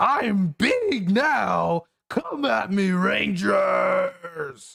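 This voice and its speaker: A put-on character voice shouts at a middle pitch. The pace is very slow. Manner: screaming.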